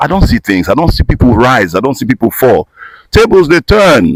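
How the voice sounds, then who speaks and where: Recorded dry and close with no echo, a man talks at a fairly quick pace in an animated tone, with vocal fry and very wide pitch swings. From Nigeria, Igbo from Imo State. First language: Igbo. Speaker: voice-over artist and actor. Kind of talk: casual interview.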